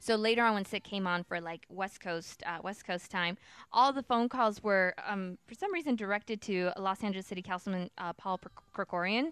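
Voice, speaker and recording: On a very clean recording with a silent background and a dry, close sound with no echo, a woman with a normal speaking voice talks fairly quickly at medium pitch with ordinary pitch variation. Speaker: news segment presenter on a podcast. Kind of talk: casual chat with news rundown. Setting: home garage studio, live webcast.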